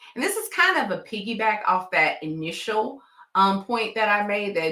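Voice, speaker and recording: The tone is bright and sharp, with a Southern US accent. Pitch varies in an ordinary way. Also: woman. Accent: Southern twang. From Tennessee, US South. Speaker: nurse and coach for healthcare professionals. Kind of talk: vlog advice talk. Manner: conversational, uses fillers like um.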